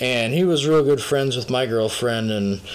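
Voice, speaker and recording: Lively intonation from a man at medium pitch with an American accent, over noticeable background noise. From Minnesota. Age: 20s. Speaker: podcast co-host. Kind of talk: casual chat.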